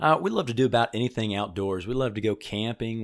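A man with an American accent talks at a fairly quick pace in a fairly low pitch, a normal speaking voice. The recording is very clean, with a silent background. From Illinois. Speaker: student pastor. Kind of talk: interview.

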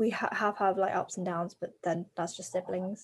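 A woman in an English accent, fairly even in intonation, on a very clean recording with a silent background. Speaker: adoptee guest. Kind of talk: casual chat.

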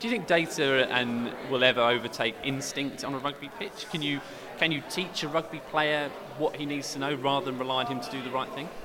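A fairly high-pitched man talks with ordinary pitch variation while noticeable background noise plays. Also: fairly quick pace. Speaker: podcast host. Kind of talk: interview.

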